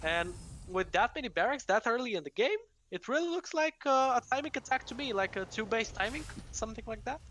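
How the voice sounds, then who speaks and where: A woman's fairly high, fast-moving voice with vocal fry and very wide pitch swings. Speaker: esports caster. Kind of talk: live commentary. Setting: live stream. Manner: louder than usual; animated.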